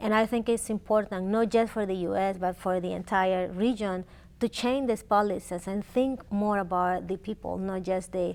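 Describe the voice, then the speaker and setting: A woman with a Spanish accent at a medium pitch and moderate pace, with fairly even intonation, in a very clean recording with a silent background. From Honduras. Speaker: immigrant rights advocate. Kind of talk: interview.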